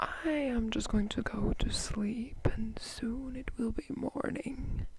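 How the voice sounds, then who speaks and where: The speaker is soft-spoken and whispering. Noticeable background noise sits underneath. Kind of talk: read story. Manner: soft-spoken, whispered.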